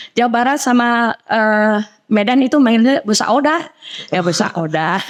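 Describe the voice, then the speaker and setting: Using an ordinary speaking voice, a woman with a fairly high pitch speaks at a fairly slow pace, her intonation lively and her loudness very even. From Central Java, Indonesia. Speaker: women's religious organization leader and preacher. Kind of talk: podcast interview.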